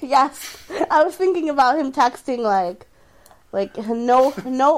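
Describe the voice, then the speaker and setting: Over noticeable background noise, a woman speaks very slowly in a high voice with lively intonation. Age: 20s. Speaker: comedian and podcast co-host. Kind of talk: casual chat.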